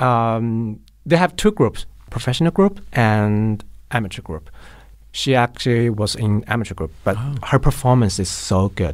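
Heard in a very clean recording with a silent background, a man with a Chinese accent speaks at a moderate pace and medium pitch with lively intonation. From Chongqing, China. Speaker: queer film volunteer organizer. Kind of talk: interview.

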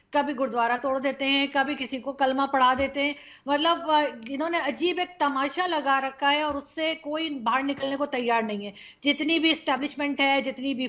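Her high-pitched voice moves at a fairly slow pace, this woman keeping a fairly even intonation. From Pakistan. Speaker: talk show host. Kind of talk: panel discussion. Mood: critical, earnest. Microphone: video call.

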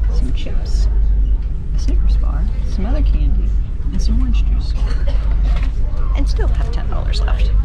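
Loud music plays in the background as a woman speaks at a moderate pace. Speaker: travel vlogger. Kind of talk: casual vlog chat. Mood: relaxed, upbeat. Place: boat. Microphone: phone near.

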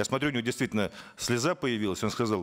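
This man talks at a very fast pace. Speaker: member of parliament; conference speaker. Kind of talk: formal political speech. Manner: formal. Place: meeting room. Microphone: podium.

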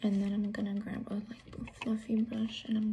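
A woman is whispering. Her pace is very slow. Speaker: ASMR and makeup vlogger. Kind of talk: ASMR unboxing and makeup demonstration to camera. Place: home room. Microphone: phone near.

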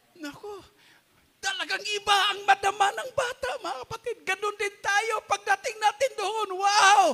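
This man sounds animated, his pitch extremely high. He moves at a fairly slow pace. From Philippines. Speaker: pastor. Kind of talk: sermon. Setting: church. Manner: animated, fervent preaching with call-and-response exclamations; code-switches between Tagalog and English, laughs while joking. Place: church. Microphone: handheld.

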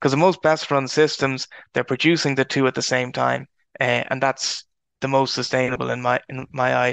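An Irish accent comes through a monotone, flat intonation at a moderate pace. The sound is dry and close with no echo, and the background is quiet. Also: man, medium pitch for a man. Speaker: agricultural researcher. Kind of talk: webinar presentation.

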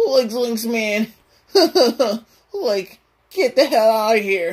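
In a put-on character voice with a fairly high pitch, the speaker talks at a very slow pace. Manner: goofy, shaky.

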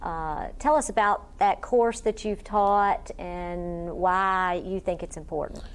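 Before a quiet background, a woman with an unremarkable speaking voice and ordinary pitch variation speaks at a fairly slow pace. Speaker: interviewer. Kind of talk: oral history interview.

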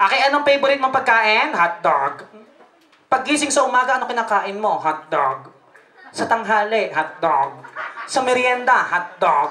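Pitch swings very widely over light background noise, with audible echo in the room. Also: woman. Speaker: party host. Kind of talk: comic emcee interview banter. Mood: playful, teasing. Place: hall. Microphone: handheld.

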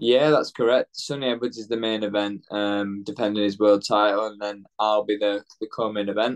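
Against a quiet background, a man with a Yorkshire accent speaks at a moderate pace with hardly any pauses, in a fairly low pitch and fairly even intonation. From northern England, Leeds; northern England. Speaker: professional boxer; interviewee. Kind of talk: interview. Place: home room. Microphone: video call.

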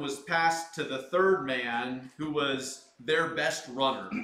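A man talks at a fairly slow pace with ordinary pitch variation. There is audible room echo. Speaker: pastor. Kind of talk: sermon. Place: empty room.

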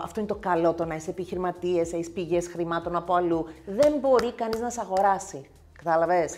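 Speaking at a fairly quick pace, a woman uses lively intonation and a fairly low pitch. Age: 50s. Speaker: nail technician and content creator; content creator. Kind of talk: casual chat. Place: home room. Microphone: lapel.

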